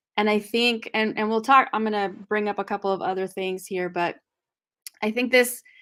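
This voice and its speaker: On a very clean recording with a silent background, a woman talks at a fairly quick pace and fairly high pitch, her intonation fairly even. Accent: Spanish. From California Central Valley. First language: Spanish. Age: 40s. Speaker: discussion host. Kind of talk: book discussion. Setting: live video stream.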